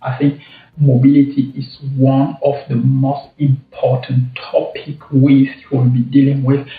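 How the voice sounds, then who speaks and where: With a non-native accent, a man talks at a fairly high pitch in a monotone, flat intonation. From Cameroon. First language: French. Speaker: travel vlogger. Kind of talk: casual vlog commentary. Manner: halting, many repetitions.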